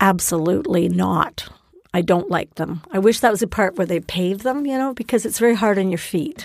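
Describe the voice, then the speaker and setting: A woman speaks at a fairly quick pace in a plain, everyday voice. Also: medium pitch for a woman, lively intonation. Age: 60s. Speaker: guest discussing places she has lived. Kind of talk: casual chat.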